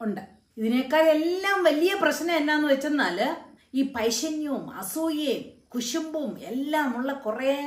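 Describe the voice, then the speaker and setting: In a room with audible echo, a woman talks at a high pitch with lively intonation. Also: quiet background. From Kerala, India. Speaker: YouTube motivational speaker; motivational speaker. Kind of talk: motivational talk to camera. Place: home room. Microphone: phone near.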